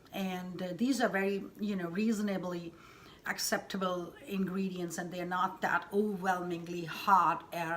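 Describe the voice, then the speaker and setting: Someone speaks at a fairly slow pace with an Indian accent. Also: woman. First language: Hindi. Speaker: cooking channel host. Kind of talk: cooking tutorial. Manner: halting, many fillers.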